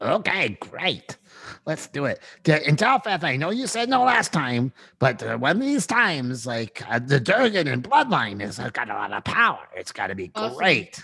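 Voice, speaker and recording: A man puts on a character voice, fairly high in pitch with very wide pitch swings, at a moderate pace. The recording is very clean, with a silent background. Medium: actual play. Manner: chatty, rambling, easily fascinated.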